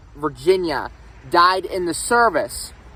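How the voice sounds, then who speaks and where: A man talks at a very slow pace with a Pittsburgh accent. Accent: western Pennsylvania (Pittsburgh). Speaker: history vlogger. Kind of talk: casual vlog talk. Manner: loud. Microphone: no microphone, camera audio.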